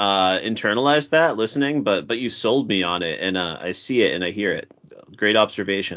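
A plain, everyday voice: a man with an American accent, fairly quick pace and lively intonation. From Massachusetts. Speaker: teacher. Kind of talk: casual chat.

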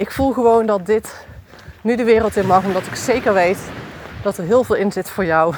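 A woman at medium pitch and a moderate pace, with ordinary pitch variation and noticeable background noise. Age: 40s. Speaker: podcast host. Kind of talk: personal monologue. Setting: outdoors, walking.

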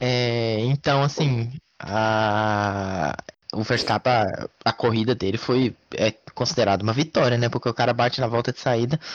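A man talks at a fairly slow pace in a normal speaking voice, medium in pitch for a man. The sound is dry and close with no echo, and his intonation is fairly even. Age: 20s. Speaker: motorsport podcast co-host. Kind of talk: casual sports chat.

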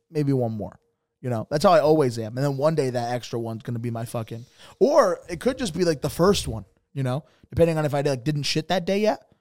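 With an American accent, a man with a fairly high pitch talks at a very fast pace with lively intonation on a very clean recording with a silent background. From Bridgeport, Connecticut. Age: 20s. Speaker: comedian and podcast co-host. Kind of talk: casual chat. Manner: animated, frequent laughing.

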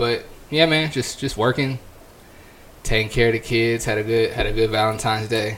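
At a moderate pace, a man speaks with medium pitch and fairly even intonation. He takes long, frequent pauses. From California. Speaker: podcast co-host. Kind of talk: casual chat.

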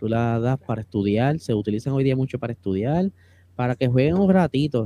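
Medium in pitch, a man's voice has a dark, mellow tone and lively intonation at a fairly quick pace. The sound is dry and close, with no echo. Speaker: podcast co-host, motorsport content creator. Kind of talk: casual chat.

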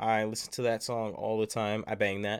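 In a very clean recording with a silent background, a man with an American accent talks at a fairly slow pace in an animated tone. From Long Beach, California. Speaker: podcast host. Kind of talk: casual chat.

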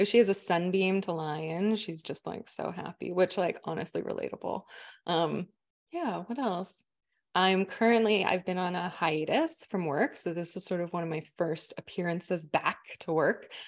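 A woman with a Canadian accent and an unremarkable speaking voice talks at a medium pitch with ordinary pitch variation. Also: moderate pace, quiet background. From Manitoba, Canada. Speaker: astrologer. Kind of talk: casual chat.

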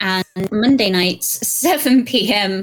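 With a British accent, a woman speaks using lively intonation. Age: 30s. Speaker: content creator. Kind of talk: casual chat.

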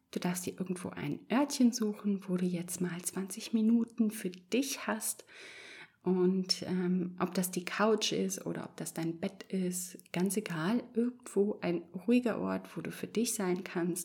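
A woman at medium pitch speaks very slowly in a soothing, gentle, dark and mellow tone with vocal fry and ordinary pitch variation. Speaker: podcast host and meditation guide. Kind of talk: guided meditation, calm hypnotic instructions. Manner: slow, soft, soothing, gentle pacing with pauses; warm, reassuring, encouraging.

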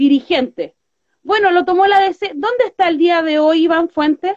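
A woman speaks in a Chilean accent. Her pitch is extremely high, with ordinary variation. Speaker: political podcast host. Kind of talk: casual political chat.

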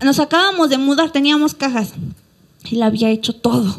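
A woman talks at a fairly quick pace in an animated tone with lively intonation, over noticeable background noise. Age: 20s. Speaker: pastor. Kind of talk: sermon.

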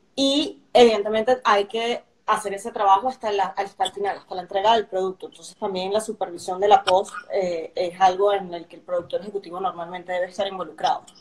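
Here is a woman with an unremarkable speaking voice at medium pitch and fairly even intonation. She talks at a fairly quick pace with hardly any pauses. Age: young. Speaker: executive producer. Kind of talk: casual interview. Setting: live stream.

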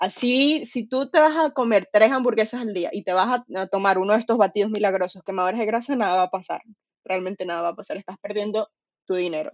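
This speaker talks at a fairly quick pace with ordinary pitch variation, in a Venezuelan accent. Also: woman, fairly high pitch for a woman. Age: 20s. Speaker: nutrition coach and personal trainer. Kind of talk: casual chat.

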